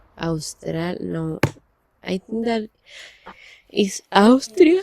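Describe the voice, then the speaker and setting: Her voice has a dark, mellow tone and a medium pitch for a woman. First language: Spanish. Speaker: language-learning vlogger. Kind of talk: casual video diary. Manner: halting, hesitant.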